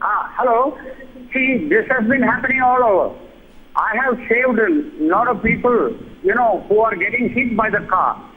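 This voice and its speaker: With an extremely high pitch, a man speaks at a moderate pace with ordinary pitch variation, very even loudness, and long, frequent pauses over noticeable background noise. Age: 70s. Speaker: viewer caller. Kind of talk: phone-in testimony.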